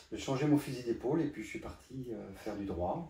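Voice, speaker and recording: With audible room echo around him, a man speaks at a fairly slow pace in a somewhat breathy, dark and mellow tone with lively intonation. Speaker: photographer. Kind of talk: interview. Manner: halting.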